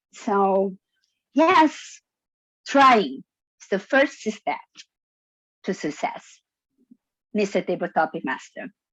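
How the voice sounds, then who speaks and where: Speaking at a very slow pace with long, frequent pauses, a woman with a non-native accent uses a fairly high pitch and very wide pitch swings, all in a dry, close sound with no echo. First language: not English. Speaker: toastmasters member. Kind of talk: impromptu speech. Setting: zoom meeting.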